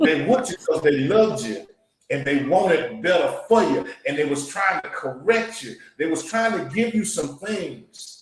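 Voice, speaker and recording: In a Louisiana accent, a man speaks at a moderate pace with a high pitch, very wide pitch swings and an animated tone. His loudness swings a lot, and audible room echo is present. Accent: Louisiana Southern US. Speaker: podcast host. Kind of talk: casual interview. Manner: animated, preacher-like.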